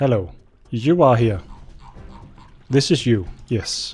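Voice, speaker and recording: Music plays behind a man with a Danish accent. He speaks at a fairly slow pace in a medium pitch. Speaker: gaming YouTuber. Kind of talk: gameplay commentary. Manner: casual, rambling with hesitations.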